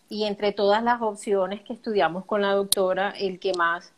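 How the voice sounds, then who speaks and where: At a moderate pace, a woman of medium pitch talks with monotone, flat intonation. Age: 30s. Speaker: accountant. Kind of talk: personal testimony in interview. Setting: live video stream.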